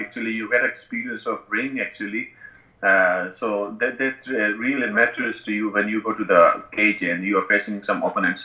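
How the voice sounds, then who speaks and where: Audible room echo colors a man's voice as he speaks at a moderate pace. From northern Pakistan. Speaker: professional MMA fighter and personal trainer; personal trainer. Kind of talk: interview. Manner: halting. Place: home room. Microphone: earbuds.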